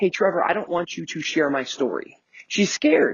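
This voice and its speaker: The man's voice is high-pitched. He speaks at a fairly quick pace. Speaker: business coach. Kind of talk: motivational podcast monologue. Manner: fast; animated.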